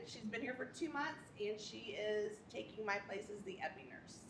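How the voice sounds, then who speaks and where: A woman speaks at a medium pitch and a moderate pace. Noticeable background noise and audible room echo fill the recording. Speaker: nursing supervisor. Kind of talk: staff introduction at public meeting. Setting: meeting room with audience. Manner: loud.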